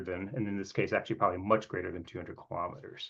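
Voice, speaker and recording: The man's speech races along at a very fast pace. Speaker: geophysics researcher. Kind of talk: scientific presentation. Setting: video call. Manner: halting, many fillers.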